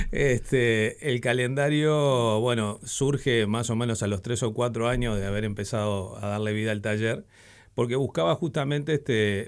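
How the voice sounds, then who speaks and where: In a very clean recording with a silent background, a man with a Uruguayan accent speaks at a fairly slow pace in a medium pitch with ordinary pitch variation. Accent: Uruguayan Spanish (Rioplatense). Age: 60s. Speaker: typographer and letterpress printer. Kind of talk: radio interview. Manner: halting, many fillers and restarts.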